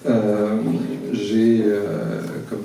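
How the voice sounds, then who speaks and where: Room echo and noticeable background noise surround a man speaking at a fairly low pitch. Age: 60s. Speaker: candidate on municipal list, finance director. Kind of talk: public meeting speech. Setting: public meeting hall with audience. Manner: hesitant, many fillers.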